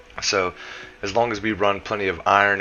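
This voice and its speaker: Music plays behind the speaker. He is a man with a fairly low voice. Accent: American. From US South. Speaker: gaming YouTuber. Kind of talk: tutorial. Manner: casual.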